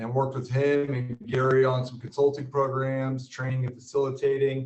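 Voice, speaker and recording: A somewhat breathy man at a medium pitch and a fairly quick pace. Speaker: business coach, former real estate team leader. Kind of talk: webinar presentation.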